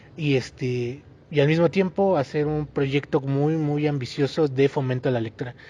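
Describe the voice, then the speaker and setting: The man's fairly high-pitched voice has a dark, mellow tone and fairly even intonation. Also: moderate pace. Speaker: podcast co-host. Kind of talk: casual chat.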